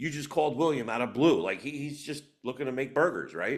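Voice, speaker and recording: A man talks with vocal fry. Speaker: real estate team leader and coach. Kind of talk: sales training session with role-play.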